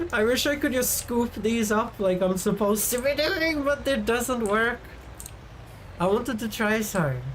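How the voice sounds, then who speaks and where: Audible room echo accompanies a woman speaking at a fairly high pitch, with ordinary pitch variation and very even loudness. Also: moderate pace. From Sweden. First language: Swedish. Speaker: vtuber streamer. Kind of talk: casual live-stream chat. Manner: animated.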